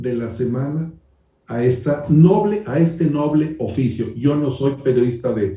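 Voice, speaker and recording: Audible room echo surrounds a man's fairly high, somewhat breathy voice, dark and mellow in tone, moving at a very slow pace with ordinary pitch variation. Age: 60s. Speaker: journalist and TV editorialist. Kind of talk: TV talk show interview.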